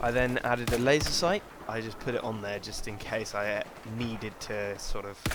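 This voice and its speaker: Noticeable background noise sits behind a man at medium pitch. He talks at a moderate pace with fairly even intonation. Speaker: video game reviewer. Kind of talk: gaming weapon review commentary.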